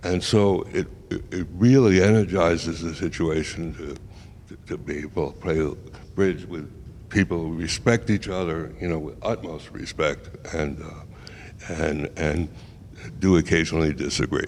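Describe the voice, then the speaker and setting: With an American accent, a man speaks in a very deep, low voice. His pitch varies in an ordinary way. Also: moderate pace. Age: 80s+. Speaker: bridge player. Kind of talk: casual interview. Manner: halting, many repetitions.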